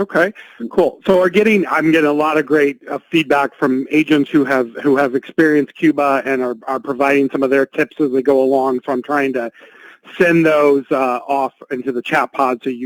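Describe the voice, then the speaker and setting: A plain, everyday voice from a man, fairly high in pitch with fairly even intonation at a moderate pace, dry and close with no echo. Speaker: webinar host. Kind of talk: webinar hosting.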